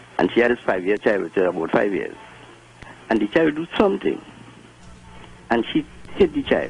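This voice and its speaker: With noticeable background noise, a man talks at a fairly quick pace broken by long, frequent pauses. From Trinidad. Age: 70s. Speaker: caller. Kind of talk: radio call-in anecdote.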